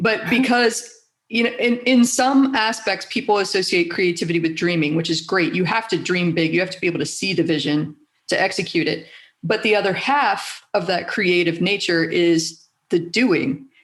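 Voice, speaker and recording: An unremarkable speaking voice from a woman, medium in pitch, with lively intonation at a moderate pace. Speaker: podcast host. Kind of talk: podcast interview conversation.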